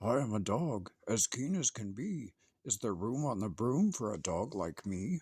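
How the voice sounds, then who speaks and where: Moderate-paced, medium-pitched put-on character voice from a man. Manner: eager, keen.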